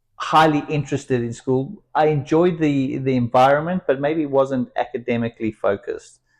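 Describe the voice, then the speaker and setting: A man with a South African accent at a moderate pace, ordinary pitch variation, a quiet background and a dry, close sound with no echo. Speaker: entrepreneur and company founder. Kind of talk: interview.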